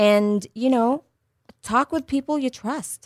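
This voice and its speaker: Lively intonation marks a woman's plain, everyday voice, delivered at a fairly slow pace. The recording is very clean, with a silent background and a dry, close sound with no echo. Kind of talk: radio ad pitch. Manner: salesy, upbeat, promotional; persuasive, reassuring, rehearsed.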